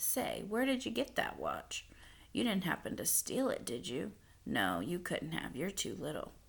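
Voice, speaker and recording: The voice is a put-on character voice, gruff, raspy and growling. It moves at a moderate pace. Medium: read story. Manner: gruff but kindly.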